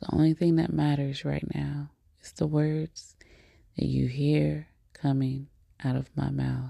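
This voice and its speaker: Pausing long and often, a woman speaks at a fairly slow pace in a soothing, calm tone, with big swings in loudness. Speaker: meditation host. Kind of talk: guided meditation. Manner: slow, soothing, calm; encouraging, motivational.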